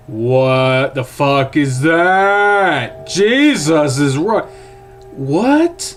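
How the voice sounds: With faint music behind him, a man uses a put-on character voice, fairly high and full of big pitch swings, at a very slow pace.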